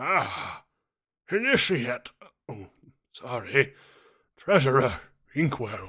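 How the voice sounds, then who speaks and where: Putting on a raspy character voice at a medium pitch, a man speaks at a very slow pace with long, frequent pauses. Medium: read story.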